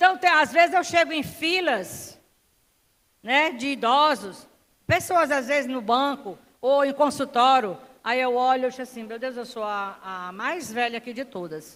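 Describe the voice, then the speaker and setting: A woman speaks at a fairly slow pace in a high voice, with lively intonation and big swings in loudness. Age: 60s. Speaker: preacher. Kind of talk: sermon.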